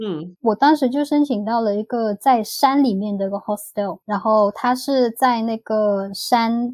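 A woman uses an ordinary speaking voice, fairly high in pitch with ordinary variation, at a fairly slow pace with hardly any pauses. The sound is dry and close with no echo. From Vietnam (ethnic Chinese). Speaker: former working holiday traveller. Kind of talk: casual interview chat.

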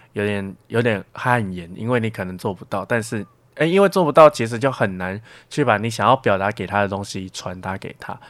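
Recorded very cleanly against a silent background, a man talks at a fairly quick pace with ordinary pitch variation in a normal speaking voice. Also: fairly low pitch for a man, big swings in loudness. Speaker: university student. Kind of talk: casual interview.

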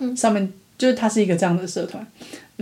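Somewhat breathy, a woman talks in a dark, mellow tone. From Taiwan. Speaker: podcast co-host. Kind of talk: casual chat.

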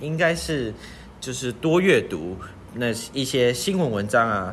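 At a fairly slow pace, a man speaks at a medium pitch with very wide pitch swings. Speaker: podcast co-host, student. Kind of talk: casual chat.

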